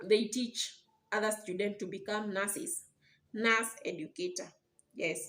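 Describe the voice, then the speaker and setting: A woman's fairly high voice with a non-native accent and ordinary pitch variation, at a fairly slow pace with long, frequent pauses. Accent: non-native, may mispronounce words. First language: not English. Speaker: YouTuber explaining nursing careers. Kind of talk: educational explainer video. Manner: halting, with repetitions and restarts.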